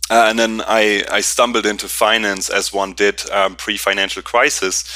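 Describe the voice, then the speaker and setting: This man speaks with a German accent and fairly even intonation. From Germany, Berlin. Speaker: company founder and CEO. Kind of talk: interview. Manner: halting, many fillers.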